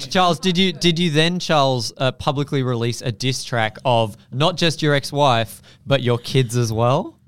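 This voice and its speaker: This man speaks at a medium pitch with an Australian accent, keeping his loudness very even. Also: ordinary pitch variation, moderate pace, hardly any pauses. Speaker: comedy podcast co-host. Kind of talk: casual comedic chat.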